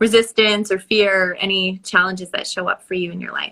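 A woman speaks in an ordinary speaking voice at a medium pitch. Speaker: podcast host. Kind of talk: casual interview chat.

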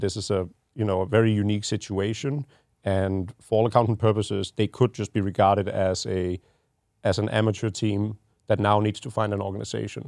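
Delivered with a Danish accent, the speech is fairly quick and monotone, with flat intonation. The sound is dry and close with no echo, on a very clean recording with a silent background. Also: man. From Denmark. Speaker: esports team general manager. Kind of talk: casual podcast chat. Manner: halting with repeated words.

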